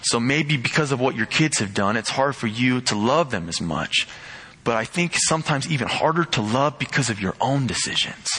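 A man talks fairly quickly with lively intonation at a medium pitch while noticeable background noise plays. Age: young (19). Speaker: pastor's son, lay preacher. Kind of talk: sermon.

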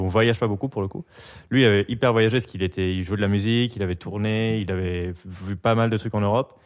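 Using a plain, everyday voice, a man talks at a fairly low pitch with fairly even intonation. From France, Biarritz (Basque coast) and Paris. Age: 30s. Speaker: graphic designer and amateur DJ. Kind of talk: casual chat.

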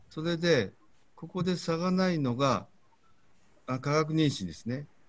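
A man talks at a fairly slow pace with a fairly high pitch. His intonation is lively. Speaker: fertility clinic doctor. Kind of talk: lecture. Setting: video call.

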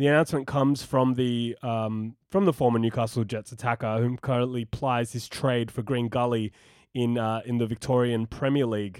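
This voice has an Australian accent. It moves at a moderate pace. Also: man, medium pitch for a man. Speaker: football podcast host. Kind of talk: casual chat. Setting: remote call. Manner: animated.

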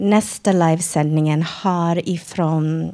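A woman with a non-native accent speaks at a very slow pace. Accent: non-native Swedish. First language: English (speaking Swedish). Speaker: radio presenter, clubhouse member. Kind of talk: prepared speech; live radio presenting. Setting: live broadcast before studio audience.

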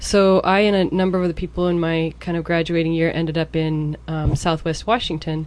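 A woman's fairly quick, monotone and flat delivery with hardly any pauses, over noticeable background noise. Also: fairly low pitch for a woman. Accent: American. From US Pacific Northwest. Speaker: Spanish teacher. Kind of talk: casual chat.

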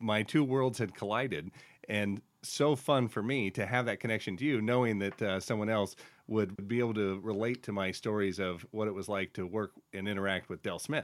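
An unremarkable speaking voice, moderate in pace, with ordinary pitch variation. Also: man, fairly low pitch for a man. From Central Oregon, US. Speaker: state representative and podcast host. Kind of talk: interview conversation.

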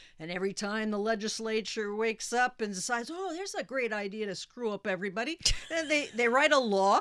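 A woman talks at a very fast pace in a fairly high pitch with lively intonation. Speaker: family lawyer. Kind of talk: radio call-in advice show. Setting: radio studio.

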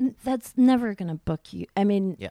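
A woman talks in a plain, everyday voice with ordinary pitch variation. The sound is dry and close, with no echo. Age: 30s. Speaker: stand-up comedian. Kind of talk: casual chat.

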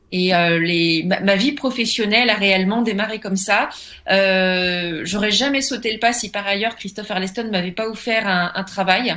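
With a bright, sharp tone and ordinary pitch variation, a woman speaks at medium pitch and a moderate pace. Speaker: comic book writer and novelist. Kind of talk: interview.

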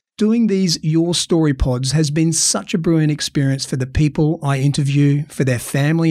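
A man speaks with an Australian accent at a moderate pace. His pitch is fairly high, with ordinary variation. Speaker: podcast host.

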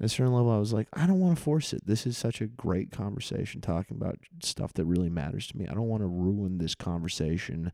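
A man's very fast, lively-intoned speech with hardly any pauses, a fairly low pitch and a dark, mellow tone on a very clean recording with a silent background. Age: 20s. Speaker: podcast host. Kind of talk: casual chat; podcast intro monologue. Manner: halting, filler-heavy.

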